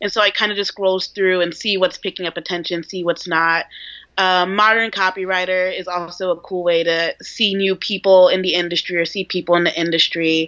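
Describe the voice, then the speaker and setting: A woman speaks at a medium pitch and a fairly quick pace. Her intonation is monotone and flat. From New York. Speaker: junior copywriter. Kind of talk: casual interview. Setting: video call.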